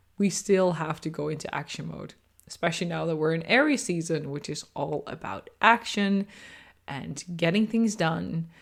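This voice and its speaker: A woman speaks at a fairly low pitch with vocal fry and big swings in loudness. The recording is very clean, with a silent background. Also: lively intonation, moderate pace. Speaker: podcast host and astrology coach. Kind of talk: solo podcast monologue. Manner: reflective, conversational.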